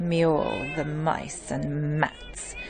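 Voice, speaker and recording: A put-on character voice sounds menacing at a middle pitch and a very slow pace. Music plays clearly in the background. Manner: boastful, menacing.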